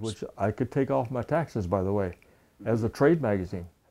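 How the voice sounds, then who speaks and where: Speaking in a dark, mellow tone with ordinary pitch variation, a man has an American accent. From United States. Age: 80s+. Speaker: World War Two veteran and artist. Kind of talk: interview answer. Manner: humorous, storytelling. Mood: lively storytelling, amused. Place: home room. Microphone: lapel.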